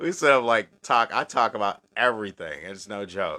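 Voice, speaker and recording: A man speaks with a bright, sharp tone. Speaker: occult livestream host. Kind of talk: live stream chat with viewers. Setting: live video stream. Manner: casual, conversational.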